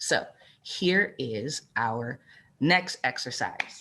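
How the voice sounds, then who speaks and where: A woman talks at a very slow pace with vocal fry. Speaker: author and workshop presenter. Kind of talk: workshop talk.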